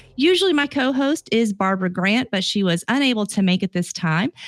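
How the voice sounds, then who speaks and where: With a Southern US accent, this fairly quick speaker has ordinary pitch variation while music plays in the background. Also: woman. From US South. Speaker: podcast host and relationship coach. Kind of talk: casual podcast chat.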